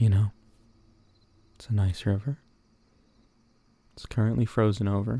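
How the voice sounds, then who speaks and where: A man's somewhat breathy voice moves at a moderate pace with fairly even intonation and long, frequent pauses. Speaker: VTuber streamer. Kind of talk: ASMR talk. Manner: speaking quietly, not whispering; halting, repeats words.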